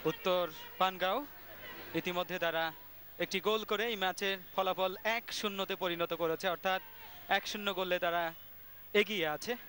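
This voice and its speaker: Dry and close with no echo, a high-pitched man projects his voice with very even loudness and fairly even intonation. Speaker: football commentator. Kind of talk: live football match commentary.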